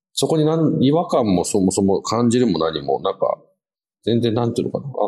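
The tone is dark and mellow. Pitch swings very widely throughout. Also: man. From Japan, schooled in UK from junior high. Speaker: podcast navigator and strategy consultant. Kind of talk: casual interview chat.

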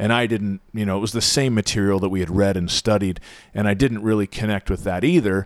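A man's ordinary speaking voice, fairly low in pitch and at a fairly quick pace, on a very clean recording with a silent background. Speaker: YouTube car channel creator. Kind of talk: casual chat.

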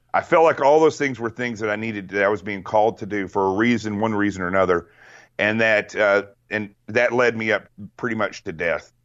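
A man talks at a fairly quick pace. It is a normal speaking voice. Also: fairly low pitch for a man, ordinary pitch variation. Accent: American. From Arkansas, US South. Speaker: guest with military and law enforcement background. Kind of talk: casual interview chat.

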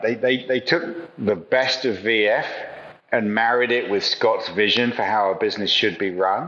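Medium-pitched male speech at a moderate pace, noticeable background noise behind it. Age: 50s. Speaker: retail consultant. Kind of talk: interview. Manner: halting.

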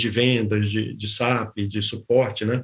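Somewhat breathy, the voice keeps a fairly even intonation. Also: man. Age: 50s. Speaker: business executive, board member. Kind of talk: interview.

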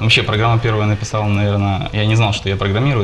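Noticeable background noise surrounds this recording. A man talks in a fairly low, monotone, flat voice. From Ukraine, Poltava. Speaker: software architect. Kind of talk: interview.

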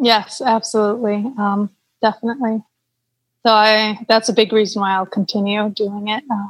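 A woman with an American accent talks at a moderate pace in a fairly high pitch. Her voice is somewhat breathy and her intonation monotone and flat. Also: dry, close sound with no echo. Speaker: cycling tourist host. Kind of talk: casual interview.

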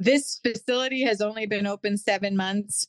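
A woman talks at a moderate pace in a normal speaking voice. Her medium pitch shows ordinary variation, and the sound is dry and close with no echo. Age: 40s. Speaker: wellness center owner and esthetician. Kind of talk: interview.

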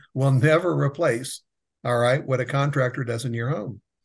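This man's voice is somewhat breathy and medium in pitch. His pitch varies in an ordinary way. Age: 60s. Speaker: business advisor for contractors, former general contractor. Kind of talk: casual interview.

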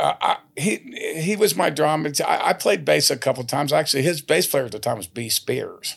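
Over noticeable background noise, a speaker with a Texas accent talks at a fairly quick pace. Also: man. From Texas, San Antonio. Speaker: country singer-songwriter. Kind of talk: casual chat.

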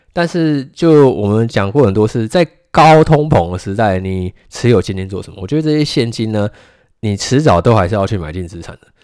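Fairly low in pitch, a man talks at a fairly quick pace with very wide pitch swings and big swings in loudness. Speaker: stock market podcast host. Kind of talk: solo podcast market commentary.

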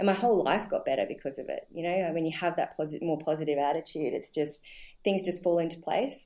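A dark, mellow tone in an Australian accent, delivered at a very fast pace. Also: woman, ordinary pitch variation. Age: 40s. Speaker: nutrition practitioner and personal trainer. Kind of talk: interview. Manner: halting, many fillers.

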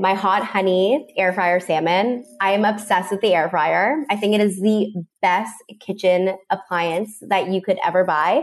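A woman's medium-pitched voice, a normal speaking voice, with very even loudness, a fairly slow pace and ordinary pitch variation. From Canada. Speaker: recipe creator, former teacher. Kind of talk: casual interview chat. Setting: video call.

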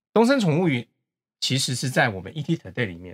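A somewhat breathy man speaks with very wide pitch swings. The recording is very clean, with a silent background and a dry, close sound with no echo. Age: 50s. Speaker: company executive. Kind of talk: casual interview chat.

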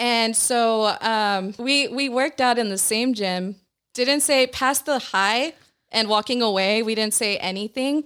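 A woman with a normal speaking voice, fairly high in pitch with ordinary pitch variation, at a fairly slow pace, on a very clean recording with a silent background. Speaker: guest. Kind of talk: casual chat.

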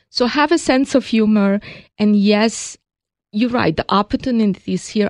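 Over a quiet background, a woman with a Hungarian accent talks at a moderate pace with ordinary pitch variation. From Hungary. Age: 60s. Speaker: cosmetics company co-founder. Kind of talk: interview.

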